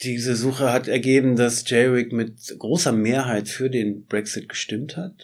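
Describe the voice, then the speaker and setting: Speaking in a plain, everyday voice, a man keeps a medium pitch and fairly even intonation with hardly any pauses. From northeastern Germany, Schwerin (Mecklenburg-Vorpommern). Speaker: photographer. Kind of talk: interview. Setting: studio.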